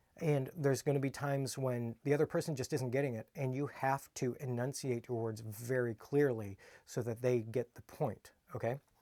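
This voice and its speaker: This man talks at a moderate pace. His pitch sits in the medium range, and his intonation is fairly even. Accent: American. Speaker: kung fu instructor. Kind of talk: casual video talk. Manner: relaxed, not over-enunciated.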